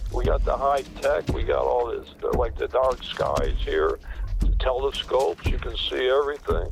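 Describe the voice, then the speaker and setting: Noticeable background noise fills the clip. Over it, a man speaks at a moderate pace. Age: 80s+. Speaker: former sheriff. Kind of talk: phone interview. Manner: halting with many fillers.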